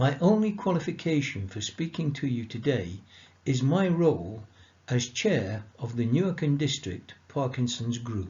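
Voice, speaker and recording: A man with a somewhat breathy voice and a medium pitch speaks at a fairly slow pace, making very wide pitch swings. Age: 70s. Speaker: support group chair. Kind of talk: prepared talk. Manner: formal.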